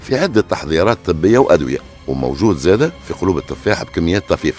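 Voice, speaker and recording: A man speaks with very wide pitch swings. Music plays in the background. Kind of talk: true crime storytelling narration. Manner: casual, conversational.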